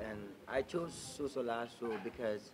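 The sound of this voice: A man's slightly mellow tone with fairly even intonation.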